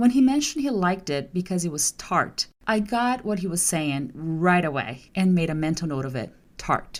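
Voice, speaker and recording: A woman with a Portuguese accent, fairly low in pitch, with very wide pitch swings, at a moderate pace. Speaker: translator and podcast host. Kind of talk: scripted podcast monologue.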